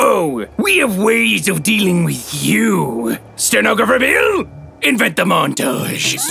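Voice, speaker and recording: A man talks at a fairly slow pace. Clear background noise runs underneath. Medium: comedy sketch. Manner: pompous, then flustered.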